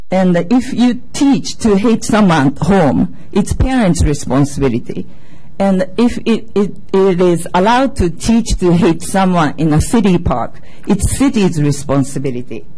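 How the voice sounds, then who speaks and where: A woman with a Japanese accent at a fairly slow pace, her pitch swinging very widely. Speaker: mother and community member at public comment. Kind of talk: prepared public comment statement. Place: meeting room. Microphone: podium.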